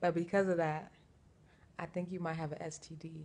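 This is a woman with an unremarkable speaking voice. Her pitch is fairly low. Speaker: vlogger. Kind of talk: casual vlog chat. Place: home room. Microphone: phone near.

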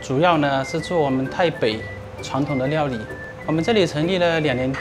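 Clear music in the background behind a man talking at a moderate pace with ordinary pitch variation. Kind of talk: interview answer. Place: cafe.

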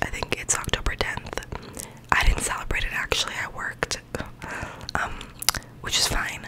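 At a moderate pace, a woman whispers. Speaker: vlogger. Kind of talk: soft casual vlog chat. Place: home room. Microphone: studio mic.

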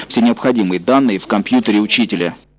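A man talks at a medium pitch. Noticeable background noise runs underneath. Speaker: TV news reporter. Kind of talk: news report narration.

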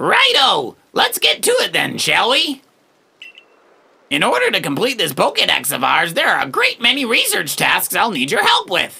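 Moderate pacing from a man doing a put-on character voice. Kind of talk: reading video game dialogue aloud. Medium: game stream. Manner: jovial, encouraging, slightly formal.

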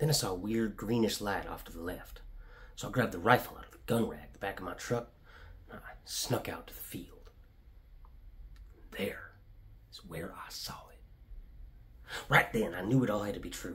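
Putting on a raspy character voice at a medium pitch, a man speaks at a moderate pace with long, frequent pauses over light background noise. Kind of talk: dramatic monologue, conversational storytelling. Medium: solo performance. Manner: folksy, rambling, wide-eyed, matter-of-fact about violence.

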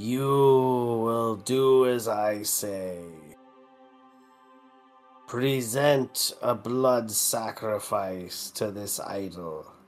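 A man puts on a booming character voice at a medium pitch, speaking at a very slow pace with long, frequent pauses. Faint music plays in the background. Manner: commanding.

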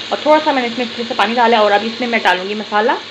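A woman's voice against noticeable background noise. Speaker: home vlogger. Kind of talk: casual vlog chat. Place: kitchen. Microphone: phone near.

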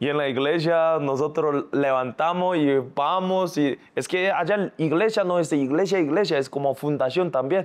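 With a Korean accent, a man speaks at a moderate pace with hardly any pauses, a fairly high pitch, ordinary pitch variation, very even loudness and an animated tone. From South Korea. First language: Korean (speaking Spanish). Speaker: singer and influencer; influencer. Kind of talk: casual interview. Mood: lively storytelling, laughing. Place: studio.

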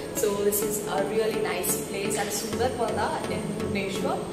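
Over loud music in the background, a woman speaks at a moderate pace with audible room echo. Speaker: food vlogger. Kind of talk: casual vlog intro. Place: cafe. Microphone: camera far.

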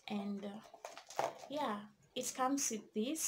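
Through noticeable background noise, a woman speaks with ordinary pitch variation. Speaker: vlogger. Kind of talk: casual vlog chat, product review. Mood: cheerful, enthusiastic. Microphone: phone near.

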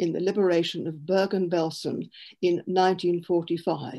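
The background is quiet. A woman speaks with a dark, mellow tone. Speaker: event host. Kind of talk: formal introduction. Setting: video call. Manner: halting. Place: home room. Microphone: video call.

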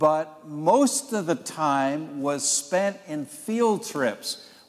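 Pitch moves in an ordinary way. The man talks at a very slow pace. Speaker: Sunday school teacher. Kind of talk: lecture. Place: church.

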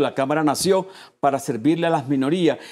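Against a quiet background, a man speaks at a moderate pace in a fairly high voice with ordinary pitch variation. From Puerto Rico. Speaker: chamber of commerce president; guest. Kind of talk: TV interview. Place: studio.

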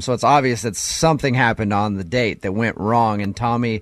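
A man with a plain, everyday voice speaks at a fairly quick pace, with fairly low pitch, ordinary pitch variation, and a dry sound with no echo. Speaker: radio host. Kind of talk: radio show banter. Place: studio.

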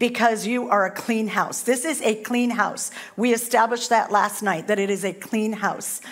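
A woman's voice at a moderate pace with fairly even intonation, over a quiet background. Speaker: guest preacher. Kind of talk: sermon. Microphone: headset.

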